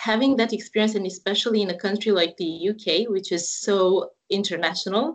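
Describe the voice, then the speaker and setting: A woman with a Romanian accent at a fairly quick pace, her pitch varying in an ordinary way. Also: medium pitch for a woman. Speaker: university representative. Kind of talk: interview. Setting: online live call.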